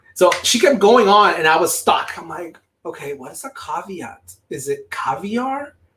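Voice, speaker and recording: The voice has a bright, sharp tone and very wide pitch swings. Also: man. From outside the US. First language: not English. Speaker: ed tech specialist, conference presenter. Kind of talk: presentation. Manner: fast; halting.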